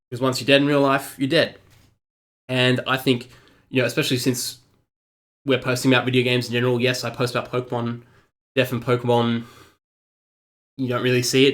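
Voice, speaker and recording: The man's voice sits at a medium pitch, flat and monotone. He moves at a fairly quick pace. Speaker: gaming vlogger. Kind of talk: vlog commentary. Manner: halting.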